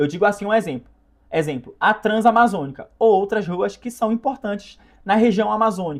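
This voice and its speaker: A man speaks in a high pitch at a fairly quick pace. His intonation is lively. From northern Brazil, Belém, Pará. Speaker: content creator. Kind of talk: casual commentary. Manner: halting, self-correcting.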